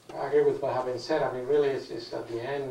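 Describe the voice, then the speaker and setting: A man with a non-native accent talks at a very fast pace, with noticeable background noise and audible room echo. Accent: foreign accent, noticeable. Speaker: cancer surgeon on expert panel. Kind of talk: panel discussion answering audience question.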